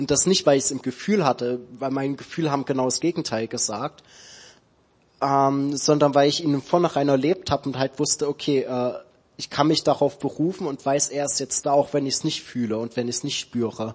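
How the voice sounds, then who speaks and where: Here a man uses an unremarkable speaking voice at a fairly high pitch. He moves at a fairly quick pace with fairly even intonation. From Saxony, Dresden. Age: 20s. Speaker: theology student. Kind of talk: church interview testimony.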